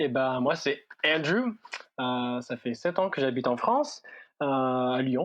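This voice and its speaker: Speaking very slowly with an English accent, a man uses a medium pitch and ordinary pitch variation. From United States. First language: English (speaking French). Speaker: youth ministry worker. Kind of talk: casual podcast interview. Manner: hesitant, many fillers.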